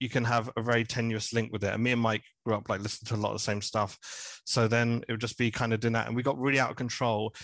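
Against a quiet background, a man with a medium pitch talks very fast in a monotone, flat delivery with hardly any pauses. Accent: southern English. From southern England, Hertfordshire. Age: 30s. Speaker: podcast guest, music podcaster. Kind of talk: casual chat.

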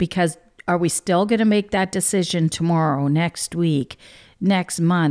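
A woman's fairly low voice, a plain, everyday voice, with ordinary pitch variation and a moderate pace, in a dry, close sound with no echo on a very clean recording with a silent background. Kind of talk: devotional talk with prayer.

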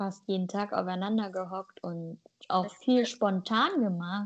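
It's a plain, everyday voice from a woman. She talks at a fairly slow pace with ordinary pitch variation. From Germany, with migration background. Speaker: podcast co-host. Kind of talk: casual chat.

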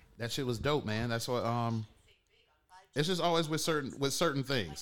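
A man talks in a normal speaking voice. His intonation is lively and his pace fairly quick. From Detroit, Michigan. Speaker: podcast host. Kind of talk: casual chat.

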